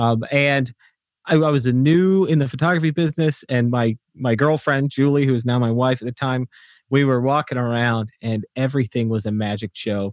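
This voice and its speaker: A man with an unremarkable speaking voice talks at a moderate pace and medium pitch, with ordinary pitch variation. The sound is dry and close with no echo, on a very clean recording with a silent background. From England, Wolverhampton, moved to the US. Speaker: photographer and podcast host. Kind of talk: casual chat.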